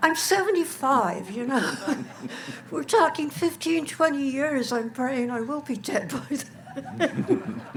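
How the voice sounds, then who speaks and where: Through noticeable background noise, a woman talks very slowly at a high pitch with lively intonation. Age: 70s. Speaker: resident speaking at town meeting. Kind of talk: public meeting comment. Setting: outdoor town meeting on a field.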